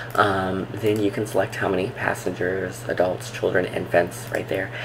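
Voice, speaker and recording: A soft-spoken man, fairly low in pitch, at a moderate pace with fairly even intonation, amid audible room echo and noticeable background noise. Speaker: travel vlogger. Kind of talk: tutorial. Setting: home, recording at computer. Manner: soft-spoken, talking low; casual, filler-heavy.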